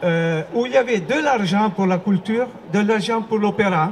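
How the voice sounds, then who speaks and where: Here a man speaks at a fairly slow pace in a high pitch, with ordinary pitch variation. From Italy. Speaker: opera performer. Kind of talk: public speech at rally. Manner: halting.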